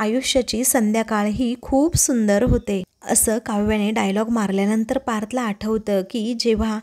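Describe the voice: Fairly even intonation in plain reading aloud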